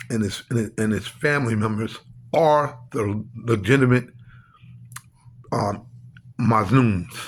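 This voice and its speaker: The man's voice is medium in pitch and somewhat breathy. His pitch variation is ordinary. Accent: American. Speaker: religious speaker. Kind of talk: religious monologue. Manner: halting.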